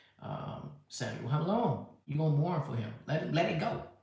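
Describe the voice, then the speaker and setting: Audible room echo around a male voice, ordinary pitch variation throughout. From US. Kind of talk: live stream response. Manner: halting.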